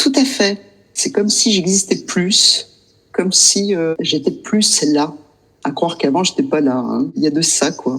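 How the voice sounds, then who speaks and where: A woman's medium-pitched voice at a fairly slow pace, with very wide pitch swings. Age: 60s. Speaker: client sharing experience. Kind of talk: interview testimony.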